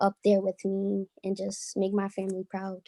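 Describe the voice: A woman speaks at a moderate pace with an American accent. Her voice is medium in pitch, with a dark, mellow tone.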